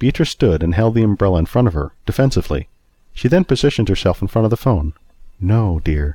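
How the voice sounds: Someone is reading. The voice sounds like a natural reading voice.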